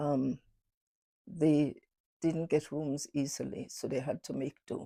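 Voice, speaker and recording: Over a silent background in a very clean recording, a woman speaks at a very slow pace with a very deep, low pitch, a dark, mellow tone and fairly even intonation, the sound dry and close with no echo. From Carriacou, Grenada. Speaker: oral history interviewee. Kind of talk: interview recollection. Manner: halting.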